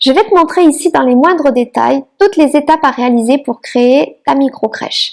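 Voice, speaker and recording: A woman with a southern French accent speaks in a high voice with lively intonation. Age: 30s. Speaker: micro-nursery founder and online trainer. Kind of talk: online masterclass presentation.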